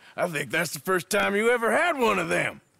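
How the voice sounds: A man puts on a character voice at a high pitch with a bright, sharp tone and vocal fry. He talks at a fairly quick pace with lively intonation.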